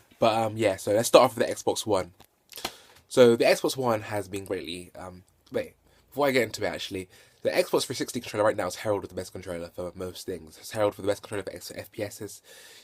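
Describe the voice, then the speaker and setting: A man with a British accent talks at a very fast pace in a fairly low pitch, with ordinary pitch variation and big swings in loudness. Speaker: gaming vlogger. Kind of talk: casual video review. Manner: hesitant, many fillers and repetitions.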